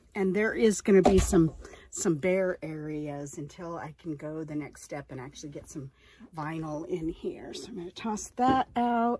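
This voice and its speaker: With lively intonation, a woman speaks in a dark, mellow tone that is somewhat breathy and fairly low in pitch. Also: moderate pace. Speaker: RV-living lifestyle vlogger and online reseller. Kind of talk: casual vlog narration. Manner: whispering.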